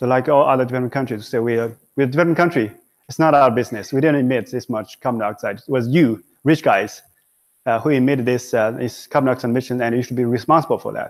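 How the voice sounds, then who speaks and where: On a very clean recording with a silent background, a man talks at a very fast pace with a Chinese accent. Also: medium pitch for a man, fairly even intonation. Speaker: professor. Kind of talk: lecture. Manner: halting, many fillers.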